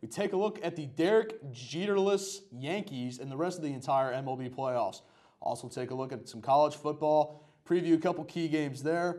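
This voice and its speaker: A man's dark, mellow voice with lively intonation at a moderate pace, over a quiet background. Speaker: student show host. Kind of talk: sports show hosting. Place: studio. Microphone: lapel.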